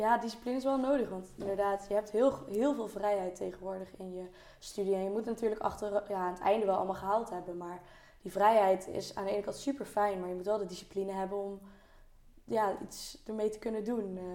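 A woman talks in a normal speaking voice at a medium pitch and a fairly quick pace. Her intonation is fairly even, while her loudness swings widely. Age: 20s. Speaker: university student. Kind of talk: casual chat.

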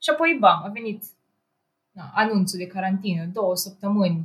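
Somewhat breathy, this voice moves at a fairly quick pace with fairly even intonation. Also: woman. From Romania, Ploiești. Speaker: engineering student and programmer. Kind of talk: casual chat.

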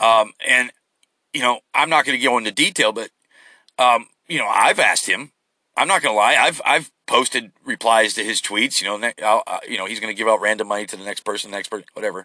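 With a bright, sharp tone and a medium pitch, a man speaks at a fairly quick pace with ordinary pitch variation, in a dry, close sound with no echo against a quiet background. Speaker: podcast host. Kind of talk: solo podcast rant about politics. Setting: recorded on the go while traveling. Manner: rambling, filler-heavy, opinionated.

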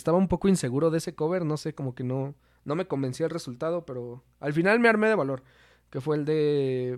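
A man talks very fast in a central Mexican accent at a fairly high pitch with ordinary pitch variation. The recording is very clean with a silent background. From Mexico, Toluca. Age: 20s. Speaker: singer in a band, marketing student. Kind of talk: casual chat. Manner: halting, frequent repetitions.

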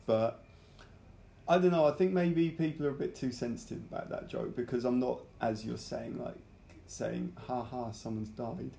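This man speaks with a British accent. His pace is moderate. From UK. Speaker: podcast host and amateur comedian. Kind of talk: casual interview; podcast intro.

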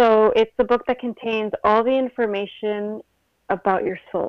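A woman with an American accent speaks at a fairly slow pace in a fairly high pitch, with a plain, everyday voice. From New York and Uruguay. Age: 30s. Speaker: spiritual reader. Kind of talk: casual interview.

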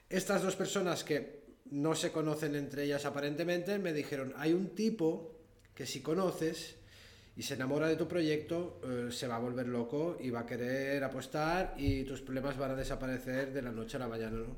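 A man talks at a moderate pace with a fairly high pitch and ordinary pitch variation. Noticeable background noise and audible room echo come through. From Andorra. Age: 30s. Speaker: tile collector and museum founder. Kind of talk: interview. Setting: recording at his museum space. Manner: halting.

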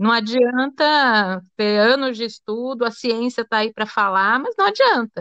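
A normal speaking voice from a woman, fairly high in pitch with ordinary pitch variation, at a fairly slow pace with hardly any pauses. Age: 40s. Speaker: radio host. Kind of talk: radio interview.

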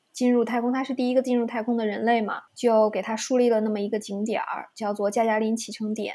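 The delivery comes at a fairly quick pace. Its intonation is monotone and flat. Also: woman. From China. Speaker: urban explorer and writer. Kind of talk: interview.

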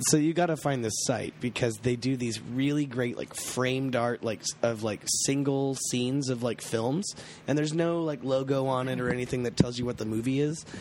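The speaker goes at a moderate pace with hardly any pauses and fairly even intonation. Noticeable background noise runs underneath. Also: man, medium pitch for a man. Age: 20s. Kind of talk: casual chat.

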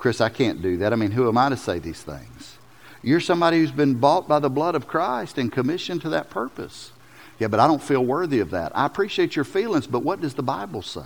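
With a Southern US accent, a man talks at a very fast pace, his medium pitch making very wide swings. Vocal fry runs through his voice. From US South. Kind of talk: sermon. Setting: church. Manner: animated.

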